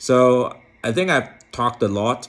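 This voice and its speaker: The speaker has a non-native accent. Pitch varies in an ordinary way. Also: man. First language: not English. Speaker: philosophy vlogger. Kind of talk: casual monologue to camera. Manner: halting, with many fillers and repetitions.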